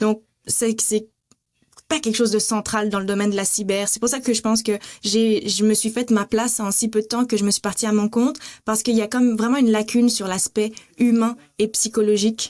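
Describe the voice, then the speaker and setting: A woman's fairly high voice, flat and monotone in intonation. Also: fairly quick pace. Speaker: cybersecurity consultant and lecturer. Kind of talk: podcast interview.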